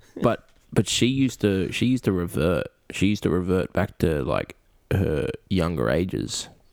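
A man speaks with a very deep, low pitch, vocal fry and a playful tone, his pitch swinging very widely. His loudness is very even, and the sound is dry and close with no echo. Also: moderate pace. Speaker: podcast co-host. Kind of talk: casual chat. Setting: video call. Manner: joking, playful.

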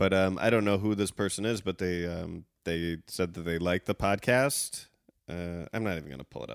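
A man with a Chicago accent and a very deep, low pitch talks at a fairly quick pace, with ordinary pitch variation. His loudness swings widely, and the sound is dry and close with no echo. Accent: Chicago, US Midwest. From Chicago suburbs, US. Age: 30s. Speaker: guest co-host of a reality TV recap podcast. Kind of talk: casual chat, joking banter.

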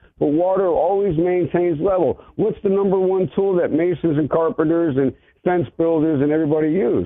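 At a moderate pace, a man with a plain, everyday voice speaks fairly high, his pitch varying in an ordinary way. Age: 50s. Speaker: caller, former mason. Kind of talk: phone-in call. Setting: phone call.

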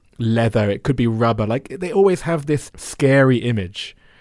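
Using a normal speaking voice, a man talks at a fairly quick pace with a medium pitch and lively intonation. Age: 40s. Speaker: podcast host. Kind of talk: interview.

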